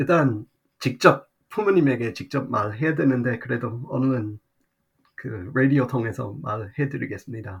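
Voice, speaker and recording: A somewhat breathy man with an English accent speaks at a fairly slow pace. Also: medium pitch for a man, ordinary pitch variation. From Australia. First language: English (speaking Korean). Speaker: guest commentator. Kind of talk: radio interview. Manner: halting.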